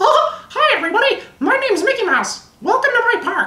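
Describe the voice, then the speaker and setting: This is a put-on character voice at an extremely high pitch. It moves at a fairly quick pace. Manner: cheerful, friendly.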